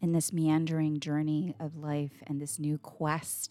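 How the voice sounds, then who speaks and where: Very slow and soothing, a woman speaks in a calm tone, her very deep, low pitch giving a dark, mellow tone. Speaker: meditation guide and coach. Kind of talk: guided meditation, gentle and unhurried, with soft drumming. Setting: home recording with a drum. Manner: soft-spoken; slow, soothing, calm.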